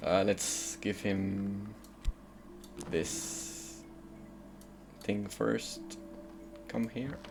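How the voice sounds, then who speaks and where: Music plays in the background. The speech moves at a very slow pace, with long, frequent pauses. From France, Paris suburbs. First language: French. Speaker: video game streamer. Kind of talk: casual gameplay commentary.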